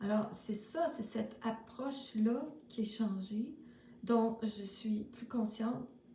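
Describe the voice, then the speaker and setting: A woman with a Quebec accent speaks at a fairly high pitch in a monotone, flat way, with audible room echo and noticeable background noise. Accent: Québécois French. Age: 60s. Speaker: spiritual vlogger. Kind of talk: casual spiritual monologue. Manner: halting, many fillers.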